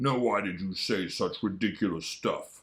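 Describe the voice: A man's put-on character voice, gruff and growling, fairly low in pitch, at a moderate pace.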